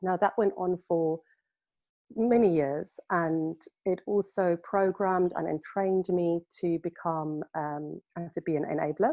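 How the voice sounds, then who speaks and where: A woman with a South African accent speaks fairly slowly at a fairly low pitch. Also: fairly even intonation. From South Africa, Cape Town. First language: Afrikaans. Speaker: healer. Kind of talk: interview. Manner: halting.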